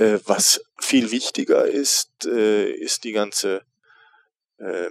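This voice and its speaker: A man speaks with long, frequent pauses. The sound is dry and close, with no echo. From Rhineland, Germany (Neuss). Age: 40s. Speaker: theatre director. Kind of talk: interview. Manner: relaxed. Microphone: cheap headset, slightly overdriven recording.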